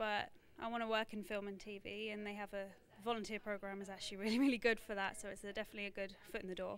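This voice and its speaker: A very fast, monotone woman's voice at medium pitch, flat in intonation, with an English accent. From London, England. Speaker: volunteer camera operator. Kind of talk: casual interview.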